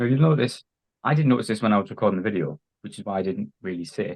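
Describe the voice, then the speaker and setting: This man speaks very fast with an English accent. His pitch is medium and his intonation lively. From England. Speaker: diecast collector, YouTuber. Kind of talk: casual interview. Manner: hesitant, many fillers.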